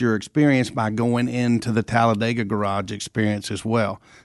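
A man speaks in a normal speaking voice at a medium pitch and moderate pace, with a dry, close sound and no echo. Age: 60s. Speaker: racetrack president, retiring. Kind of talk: casual interview.

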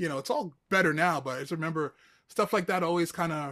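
In a very clean recording with a silent background, a man speaks at a fairly quick pace and a fairly high pitch with ordinary pitch variation. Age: 40s. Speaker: podcast host and music journalist. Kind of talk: casual interview. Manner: animated.

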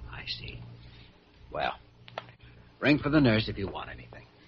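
A man puts on a character voice with a husky, rough edge, fairly low pitch, big pitch swings and a moderate pace.

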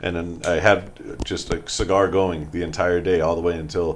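There is noticeable background noise behind a man with a very deep, low pitch. He speaks with an American accent and fairly even intonation. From Boston, US. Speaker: veteran and cigar company co-owner. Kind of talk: casual interview chat. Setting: studio.

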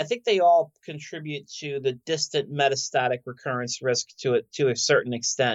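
A normal speaking voice from a man with an American accent, fairly high pitch, ordinary pitch variation, moderate pace and hardly any pauses. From South Philadelphia. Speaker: oncologist. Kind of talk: interview.

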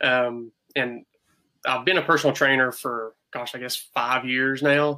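With an American accent, a man speaks at a medium pitch and a moderate pace, his tone bright and sharp and his intonation a flat monotone. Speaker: physical therapist and personal trainer. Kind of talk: podcast interview.

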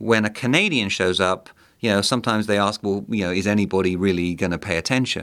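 Speaking at a very fast pace, a man with a southern English accent has a fairly low pitch. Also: ordinary pitch variation. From southeast England, Kent. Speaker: think tank director, Mexico expert. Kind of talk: interview.

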